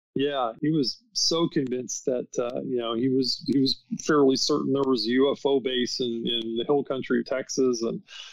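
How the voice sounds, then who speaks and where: An ordinary pace and hardly any pauses mark this normal speaking voice with an American accent. The intonation stays fairly even at a moderate pace. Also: man, medium pitch for a man. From United States. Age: 60s. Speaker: author and paranormal researcher. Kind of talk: podcast interview.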